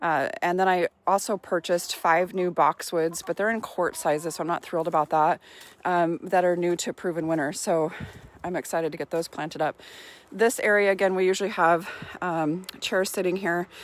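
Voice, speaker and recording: Captured with a dry, close sound and no echo, a woman with a fairly low pitch speaks with fairly even intonation. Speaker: gardening vlogger. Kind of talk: casual garden tour vlog. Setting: outdoors in her garden. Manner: fast-talking; filler-heavy, hesitant.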